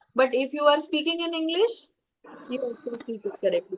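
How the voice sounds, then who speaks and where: A woman with an Indian accent speaks at a moderate pace. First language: Tamil. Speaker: English and public speaking teacher. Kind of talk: webinar talk with Q&A. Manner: halting with fillers.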